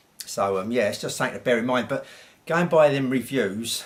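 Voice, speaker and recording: A man with a British accent talks at a fairly quick pace. His pitch varies in an ordinary way. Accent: English, informal British. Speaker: audio equipment reviewer. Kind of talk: product review. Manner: halting, stuttering; casual, conversational.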